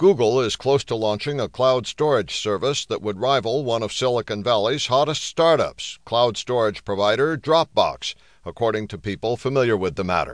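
A man's unremarkable speaking voice at medium pitch and a moderate pace, with ordinary pitch variation against a quiet background. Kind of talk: newsreading. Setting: studio. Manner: formal, even-paced, steady; neutral, impersonal delivery.

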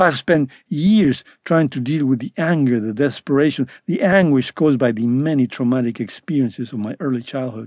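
A man has a plain, everyday voice at medium pitch with ordinary pitch variation, recorded with a dry, close sound with no echo. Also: moderate pace. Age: 60s. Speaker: author narrating own memoir. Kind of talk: unabridged audiobook reading of a first-person trauma memoir. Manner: measured, earnest, confessional pace; sober, quietly wounded tone recounting childhood neglect.

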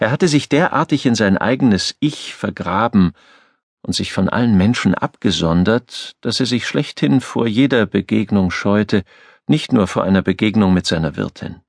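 A plain, everyday voice from a man, fairly low in pitch, with lively intonation at a moderate pace and a dry, close sound with no echo. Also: quiet background. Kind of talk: audiobook narration, reading aloud a novel.

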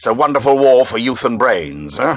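In a dramatic tone with vocal fry, a man talks at a moderate pace and a fairly high pitch. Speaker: audiobook narrator. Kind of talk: dramatic audiobook narration with character voices. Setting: studio. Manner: dramatic, measured, shifting between characters; formal, clipped British delivery.

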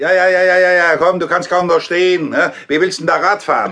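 A man puts on a character voice, high-pitched with a bright, sharp tone, ordinary pitch variation and a fairly quick pace.

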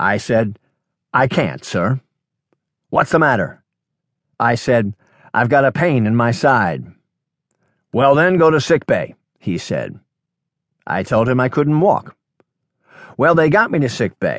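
A man with a medium pitch and vocal fry speaks at a fairly slow pace in an animated tone with lively intonation and long, frequent pauses, the sound dry and close with no echo over a quiet background. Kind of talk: audiobook reading of a workshop talk, telling a personal story. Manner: conversational, anecdotal, animated with quoted dialogue.

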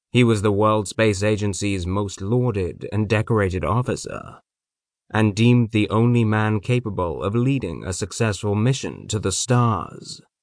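A man with an unremarkable speaking voice and a fairly low pitch talks at a moderate pace against a quiet background. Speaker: audiobook narrator. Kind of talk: dramatic comic narration, scripted audiobook reading. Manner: deadpan, mock-epic, dry satirical delivery; grand, measured, storyteller pacing.

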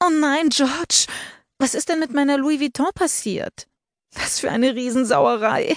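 A whiny, put-on character voice with a whiny, dramatic tone moves at a moderate pace over a quiet background. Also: female-sounding voice, high pitch for a woman. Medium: read story. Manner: whiny, dramatic, sobbing outcry.

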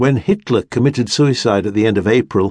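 A man speaks against a quiet background. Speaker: audiobook narrator. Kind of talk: audiobook memoir reading, scripted narration. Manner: slow, measured, reflective, wistful and elegiac in tone.

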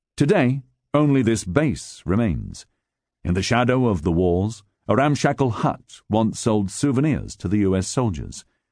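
A man's dramatic, medium-pitched delivery at a fairly slow pace, with lively intonation and a quiet background. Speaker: audiobook narrator. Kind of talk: audiobook narration of nonfiction history, read aloud from a script. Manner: dramatic, measured, storytelling delivery with gravitas.

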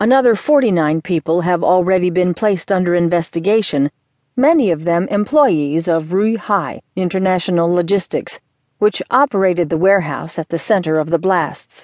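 A woman with a plain, everyday voice speaks at a moderate pace and a fairly low pitch, with ordinary pitch variation. The sound is dry and close, with no echo. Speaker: audiobook narrator. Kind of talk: formal news reading, scripted newspaper article read aloud. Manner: formal, measured and even-paced; neutral, objective newsreader tone, clearly enunciated.

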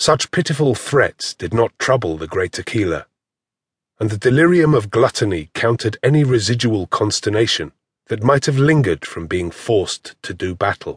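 Somewhat breathy, a man of medium pitch makes very wide pitch swings at a moderate pace. The background is quiet and the sound is dry and close with no echo. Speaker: audiobook narrator. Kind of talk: dramatic fantasy audiobook narration, ornate and theatrical, building menace. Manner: measured, stately, storyteller pacing with gravity.

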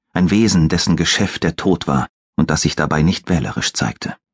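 A man speaks at a fairly slow pace with a very deep, low pitch and vocal fry. The sound is dry and close with no echo, and his pitch varies in an ordinary way. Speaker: audiobook narrator. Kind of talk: dramatic audiobook narration, reading a fantasy thriller aloud. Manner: hushed, suspenseful, slow and atmospheric.

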